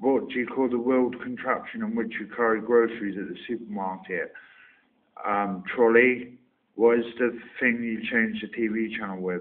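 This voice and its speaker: With a Somerset accent, a man speaks at a medium pitch and a moderate pace, using fairly even intonation and long, frequent pauses. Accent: Somerset, West Country English. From Somerset, England. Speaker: online video maker doing an accent tag. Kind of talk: casual, informal.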